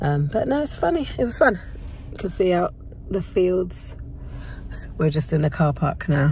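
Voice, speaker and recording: Very wide pitch swings and long, frequent pauses mark this moderate-paced speech, heard over noticeable background noise. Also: woman, fairly low pitch for a woman. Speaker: running vlogger. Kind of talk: vlog. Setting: outdoors. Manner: casual.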